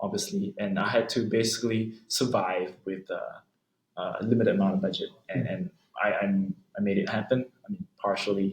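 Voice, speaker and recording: A man speaks softly. His pace is moderate. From Malaysia. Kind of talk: interview answer. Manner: soft-spoken.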